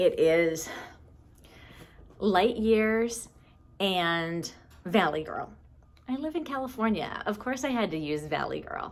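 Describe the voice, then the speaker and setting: Very slow and full of long, frequent pauses, a woman's speech sits at a medium pitch with very wide pitch swings. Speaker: knitting podcaster. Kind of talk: casual video podcast monologue.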